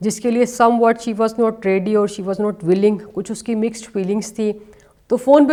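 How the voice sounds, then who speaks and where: Fairly even intonation accompanies a dark, mellow tone in this voice. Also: woman. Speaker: YouTuber discussing social issues. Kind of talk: casual talk to camera.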